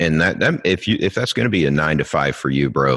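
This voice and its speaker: This man talks at a fairly quick pace, his voice showing vocal fry. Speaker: homeschooling father and podcast guest. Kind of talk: casual interview chat. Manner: halting with fillers.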